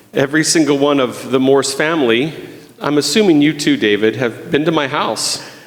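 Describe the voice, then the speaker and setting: A man talks at a fairly high pitch and moderate pace, with ordinary pitch variation and very even loudness. Audible room echo and noticeable background noise come through. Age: 60s. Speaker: guest preacher. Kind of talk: sermon. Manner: halting.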